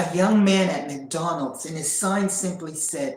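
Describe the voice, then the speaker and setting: Heard with audible room echo, a woman speaks at a fairly slow pace with a fairly low pitch. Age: 50s. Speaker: sharing personal spiritual journey. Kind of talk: casual chat. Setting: livestream. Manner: halting.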